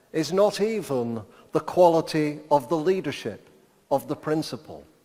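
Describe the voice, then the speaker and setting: At a fairly slow pace, a man with an English accent speaks in a fairly high pitch with ordinary pitch variation. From England. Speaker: education professor. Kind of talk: keynote lecture. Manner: slower than usual.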